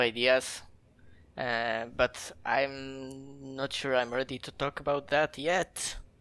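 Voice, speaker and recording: Spoken at a very slow pace in a Polish accent, the clip is a very clean recording with a silent background. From Poland, near the German border. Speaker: indie game developer. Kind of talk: casual interview.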